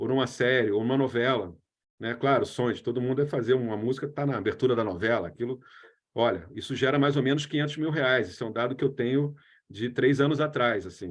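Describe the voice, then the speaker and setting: This man talks very fast in a medium-pitched voice with ordinary pitch variation. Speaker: creative economy lecturer. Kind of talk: lecture.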